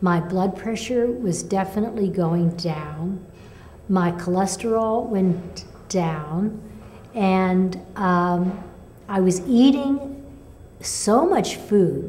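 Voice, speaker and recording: A woman speaks at a very slow pace in a medium pitch with ordinary pitch variation. Her tone is dark, mellow and somewhat breathy, with audible room echo. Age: 70s. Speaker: patient sharing recovery story. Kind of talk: testimony. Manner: halting.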